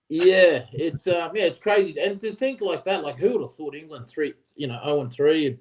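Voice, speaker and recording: With an Australian accent, a man speaks at a moderate pace in a high pitch, his intonation lively. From Australia, Queensland. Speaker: former rugby player. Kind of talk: casual chat.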